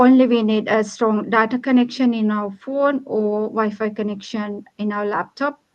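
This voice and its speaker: Against a quiet background, a woman speaks with a Sri Lankan accent at a fairly slow pace. Her fairly high voice has a monotone, flat intonation. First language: Sinhala. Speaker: online business owner. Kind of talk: livestream panel chat. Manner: hesitant, many fillers.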